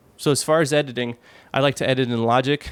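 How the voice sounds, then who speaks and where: Fairly quick, medium-pitched speech from a man with fairly even intonation, in a very clean recording with a silent background and a dry, close sound with no echo. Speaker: podcasting and audio tutorial creator. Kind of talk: tutorial. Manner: fast; casual, with fillers and restarts. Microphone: raw unprocessed audio, home studio mic.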